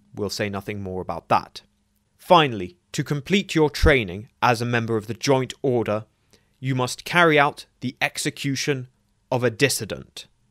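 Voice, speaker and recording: A man speaks in an unremarkable speaking voice at a medium pitch and moderate pace, with lively intonation. The recording is very clean and dry, with a silent background and a close sound with no echo. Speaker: lore video narrator. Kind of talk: scripted narration.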